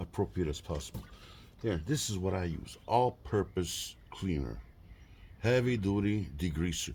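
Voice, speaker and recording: A somewhat breathy man speaks at a fairly slow pace with lively intonation on a very clean recording with a silent background. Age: 60s. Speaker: car hobbyist YouTuber. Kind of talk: tutorial. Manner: casual, halting with fillers.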